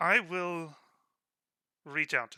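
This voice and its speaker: A man's put-on character voice, high in pitch, on a very clean recording with a silent background. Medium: actual play. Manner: gruff, guarded.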